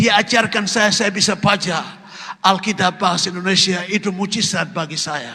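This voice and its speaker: A man's raised, projected, high-pitched voice with a non-native accent and fairly even intonation, over noticeable background noise. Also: moderate pace. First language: not Indonesian (speaking Indonesian). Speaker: pastor. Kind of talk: sermon.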